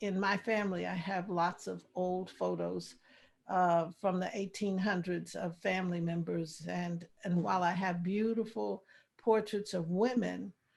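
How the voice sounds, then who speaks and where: A woman with a normal speaking voice talks at a fairly slow pace, in a medium pitch with fairly even intonation. The recording is very clean, with a silent background. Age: 60s. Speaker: artist and author. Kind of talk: interview.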